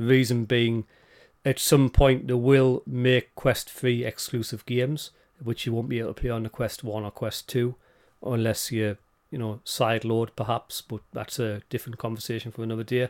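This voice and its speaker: Recorded very cleanly over a silent background, a man with a British accent speaks at a moderate pace and medium pitch with fairly even intonation. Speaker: podcast co-host. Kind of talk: casual chat.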